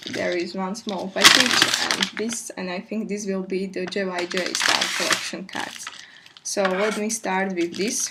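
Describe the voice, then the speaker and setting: Amid noticeable background noise, a woman speaks quietly at a medium pitch with fairly even intonation. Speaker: K-pop fan vlogger. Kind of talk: casual unboxing talk to camera. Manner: low-key, quiet.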